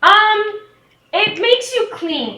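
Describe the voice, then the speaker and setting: A woman puts on a squeaky, energetic character voice at an extremely high pitch. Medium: actual play. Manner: naive, energetic.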